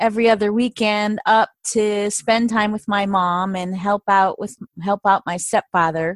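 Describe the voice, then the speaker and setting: In a very clean recording with a silent background, a woman with a fairly high pitch and an American accent talks at a fairly slow pace in a normal speaking voice, with ordinary pitch variation and a dry, close sound with no echo. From Michigan. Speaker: coloring book creator and former caregiver. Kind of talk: interview.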